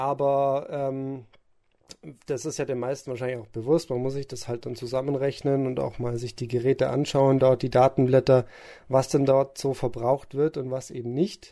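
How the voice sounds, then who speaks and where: In a very clean recording with a silent background, a man with a dark, mellow tone speaks at a medium pitch and moderate pace in a monotone, flat intonation. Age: 20s. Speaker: event technician. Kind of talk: expert interview.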